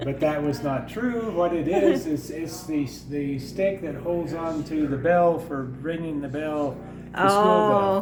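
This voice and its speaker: With an American accent and a fairly high pitch, a man speaks at a very slow pace with ordinary pitch variation, while music plays in the background and the room echo is audible. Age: 80s+. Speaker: museum volunteer. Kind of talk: casual interview.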